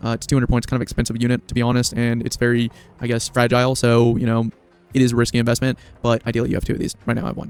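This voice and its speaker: A man's voice at a medium pitch. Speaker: gaming youtuber. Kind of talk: tutorial. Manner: casual with filler words.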